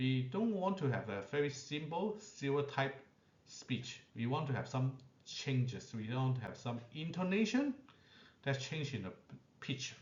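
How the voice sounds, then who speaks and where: With a non-native accent, a man speaks fairly slowly in a fairly high, somewhat breathy voice with lively intonation, and audible room echo can be heard. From Asia. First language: not English. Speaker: allied health professional. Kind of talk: lecture. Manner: short phrases with frequent pauses.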